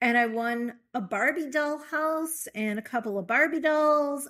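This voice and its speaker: A woman with a Chicago accent speaks in a high, bright, sharp tone with very wide pitch swings. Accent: Chicago American English. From US Midwest, Chicago. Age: 60s. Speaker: yoga therapist and author. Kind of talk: interview conversation.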